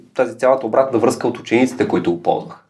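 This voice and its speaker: Music in the background under a man's medium-pitched voice. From Bulgaria, Gabrovo. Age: 30s. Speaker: education entrepreneur. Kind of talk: interview conversation.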